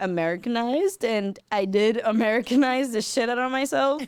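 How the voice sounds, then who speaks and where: In a Spanish accent, a woman speaks at a moderate pace with ordinary pitch variation, on a very clean recording with a silent background. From Peru (Lima), raised in Broward County, Florida from age 10. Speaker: artist. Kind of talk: podcast interview, casual conversation. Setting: studio.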